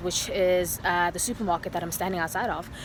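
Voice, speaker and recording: A woman speaks at a fairly quick pace. Background noise is noticeable. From South Africa. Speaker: vlogger. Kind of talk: vlog. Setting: outdoors. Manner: fast.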